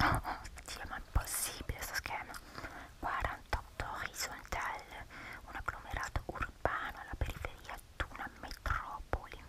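Whispering at a fairly slow pace, a woman uses a relaxed, playful tone. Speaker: ASMR YouTuber. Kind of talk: ASMR soft spoken casual talk while doing a crossword. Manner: soft-spoken, relaxed, playful.

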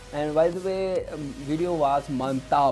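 Faint music sits in the background as a man speaks at a fairly slow pace with ordinary pitch variation. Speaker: reaction vlogger. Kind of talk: casual vlog chat. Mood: cheerful, smiling. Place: home room. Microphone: lapel.

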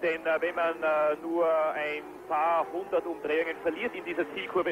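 Calm in tone, a man talks at a moderate pace with a fairly high pitch. Noticeable background noise runs underneath. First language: German. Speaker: German race commentator. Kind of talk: live sports commentary. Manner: calm, informative, fairly measured.

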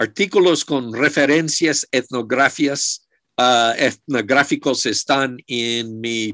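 The voice has a bright, sharp tone and an English accent, moving at a very slow pace. Pitch variation is ordinary, and the background is quiet. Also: man. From United States. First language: English (speaking Spanish). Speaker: archaeologist; lecturer. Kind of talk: lecture. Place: office. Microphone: video call.

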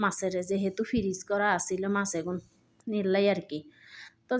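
A woman is talking. Her pitch is medium. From Lakshmipur, Bangladesh. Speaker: home cook, cooking vlogger. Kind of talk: cooking tutorial. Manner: casual, chatty.

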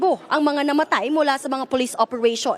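Through noticeable background noise, a woman with a high pitch talks at a fairly quick pace. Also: dry, close sound with no echo. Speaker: news reporter. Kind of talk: news report. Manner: formal.

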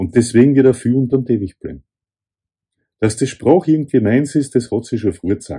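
A man with a Viennese accent, somewhat breathy, with a dark, mellow tone, a fairly quick pace and ordinary pitch variation, in front of a quiet background. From Vienna, Austria. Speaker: author. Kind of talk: author reading from own essay. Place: home room. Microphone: phone near.

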